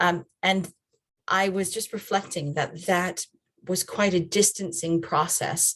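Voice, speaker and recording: With an American accent, a woman speaks at a fairly low pitch with fairly even intonation, in a normal speaking voice. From USA. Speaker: children's and family ministry trainer. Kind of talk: online training talk. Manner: conversational.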